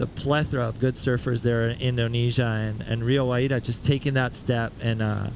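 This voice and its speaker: A man with a Spanish accent talks fairly quickly at a medium pitch with fairly even intonation, noticeable background noise around him. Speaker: surf commentator. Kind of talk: live commentary.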